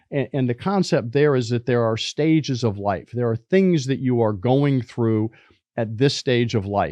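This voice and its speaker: This man has an unremarkable speaking voice with a medium pitch. He talks at a moderate pace. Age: 60s. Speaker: business professor and podcast host. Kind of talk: podcast lecture. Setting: studio. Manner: repeats words while thinking.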